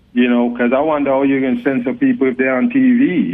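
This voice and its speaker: A man speaks at a fairly quick pace in a Jamaican accent. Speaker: talk show guest, online commentator. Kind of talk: casual interview. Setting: phone call. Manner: cool, laid-back delivery.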